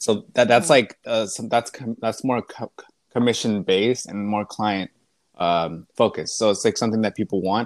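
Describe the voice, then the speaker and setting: A man with a normal speaking voice talks at a moderate pace, at a medium pitch with ordinary variation. The sound is dry and close, with no echo. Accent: American. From East Texas. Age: 20s. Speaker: visual artist. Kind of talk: interview. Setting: remote call.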